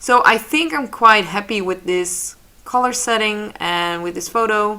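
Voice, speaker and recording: A voice with a Dutch accent speaks at a fairly slow pace, its tone bright and sharp and its pitch moving in an ordinary way. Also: woman, fairly high pitch for a woman. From Netherlands. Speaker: photographer and digital artist. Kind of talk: tutorial. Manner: casual, slightly halting.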